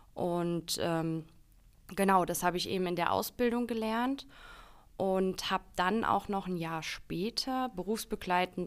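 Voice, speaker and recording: Using a normal speaking voice, a woman talks at a fairly slow pace and medium pitch in a very clean recording with a silent background. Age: 20s. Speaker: marketing employee. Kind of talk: casual interview.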